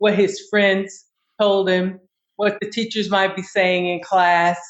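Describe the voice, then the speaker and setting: A woman with an American accent speaks at a moderate pace and medium pitch in an unremarkable speaking voice. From US South, Kentucky. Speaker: navy veteran. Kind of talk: casual chat.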